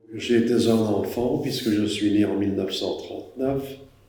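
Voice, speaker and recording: In a room with audible echo, a man with a dark, mellow tone speaks very slowly with fairly even intonation. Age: 80s+. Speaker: war witness. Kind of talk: testimony.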